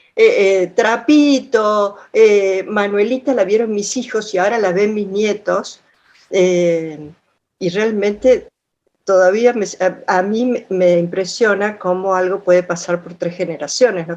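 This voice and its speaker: A woman's medium-pitched voice at a fairly slow pace, with ordinary pitch variation and big swings in loudness. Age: 60s. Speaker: audience participant. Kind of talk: casual chat. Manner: halting.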